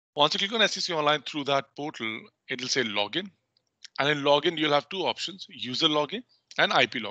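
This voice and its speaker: A man with a fairly high pitch and an Indian accent talks at a fairly quick pace with lively intonation. His tone is bright and sharp, and the sound is dry with no echo against a quiet background. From North India. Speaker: legal research software trainer. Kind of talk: online training tutorial. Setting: video call. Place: home room. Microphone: headset.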